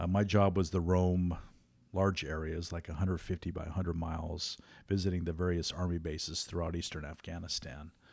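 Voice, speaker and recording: Spoken at a fairly quick pace with an American accent and flat, monotone intonation, the clip is a very clean recording with a silent background. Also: man, very deep, low pitch for a man. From California, Morgan Hill. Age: 50s. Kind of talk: casual interview.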